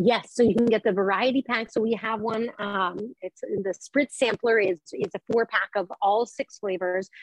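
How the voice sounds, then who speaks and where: With an American accent, a woman speaks in a normal speaking voice at a moderate pace. Her intonation is fairly even, and there are hardly any pauses. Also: fairly high pitch for a woman, dry, close sound with no echo. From Colorado, US. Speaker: wine entrepreneur and former sommelier. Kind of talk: casual chat.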